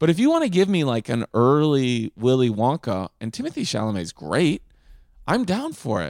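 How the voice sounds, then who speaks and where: Very wide pitch swings from a man at medium pitch, in a dry, close sound with no echo. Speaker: comedian. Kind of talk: casual banter in a comedy game show. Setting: remote recording. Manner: slow.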